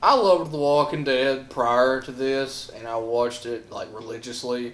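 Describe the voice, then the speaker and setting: Audible room echo surrounds a man speaking with fairly even intonation. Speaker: comic mockumentary character. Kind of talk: mock interview confession.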